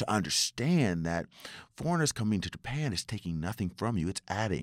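Very fast and animated, a man speaks with very wide pitch swings. The very clean recording has a silent background and a dry, close sound with no echo. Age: 40s. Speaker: IT professional and community volunteer. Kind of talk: casual chat.

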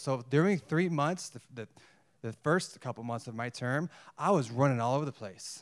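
A man with an American accent speaks at a moderate pace in a plain, everyday voice. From United States. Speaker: missionary. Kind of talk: sermon. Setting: church.

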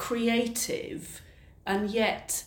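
A woman speaks over noticeable background noise. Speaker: heritage interpretation officer. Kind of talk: casual interview. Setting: in a cathedral.

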